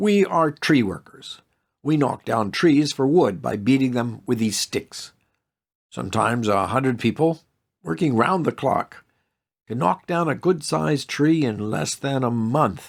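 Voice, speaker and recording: A man puts on a gruff character voice at medium pitch. He talks at a moderate pace in a very clean recording with a silent background. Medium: read story. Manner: gruff, overbearing.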